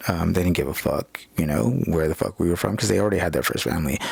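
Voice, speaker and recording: Noticeable background noise sits behind speech with ordinary pitch variation. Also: man. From California. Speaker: vlogger. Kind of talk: personal monologue vlog. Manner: halting, many fillers; loud, aggressive.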